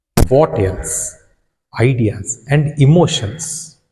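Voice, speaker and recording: With a Karnataka accent, a man speaks at a very slow pace and fairly high pitch, his pitch swinging very widely. His tone is dark and mellow, with vocal fry. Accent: Indian English (Kannada). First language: Kannada. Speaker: English teacher. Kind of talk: lecture.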